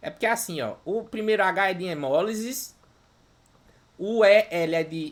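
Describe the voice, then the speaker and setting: The delivery is animated in tone but comes at a fairly slow pace. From interior of Ceará, Brazil. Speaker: medical lecturer. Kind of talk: live online lecture. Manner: animated, informal.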